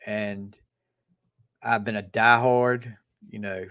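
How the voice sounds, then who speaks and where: Speaking at a very slow pace, a man talks with a Southern US accent. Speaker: livestream host. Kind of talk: casual chat.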